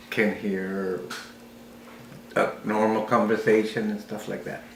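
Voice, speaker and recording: A man talks very slowly, his voice carrying audible room echo over noticeable background noise. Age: 60s. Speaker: war veteran with hearing loss. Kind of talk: interview. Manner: halting.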